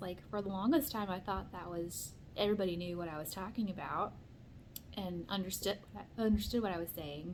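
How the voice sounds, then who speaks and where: Audible room echo surrounds a woman of medium pitch who speaks with an American accent. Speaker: book vlogger. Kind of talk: casual vlog talk. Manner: rambling, filler-heavy.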